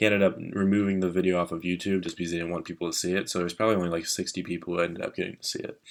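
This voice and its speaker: A quiet man's very deep, low voice, very fast and flat in a monotone with hardly any pauses, on a very clean recording with a silent background. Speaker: finance YouTuber. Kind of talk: casual vlog.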